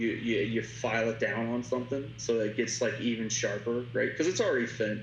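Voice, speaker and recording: Music plays in the background as a man with an American accent speaks at a fairly quick pace and medium pitch, with monotone, flat intonation and very even loudness. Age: 30s. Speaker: tattoo artist. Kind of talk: casual chat. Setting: video call. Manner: halting.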